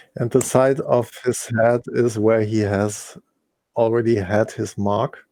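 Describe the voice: Speaking slowly, a man uses a fairly low pitch and a dark, mellow tone with little pitch movement.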